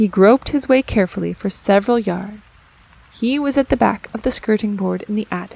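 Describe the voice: The clip is plain reading aloud. Nothing else stands out in the delivery.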